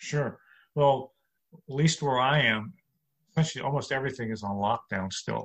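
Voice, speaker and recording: With an American accent, a man speaks at medium pitch and a moderate pace, leaving long, frequent pauses. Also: ordinary pitch variation. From New York City. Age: 60s. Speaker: comedian. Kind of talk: interview.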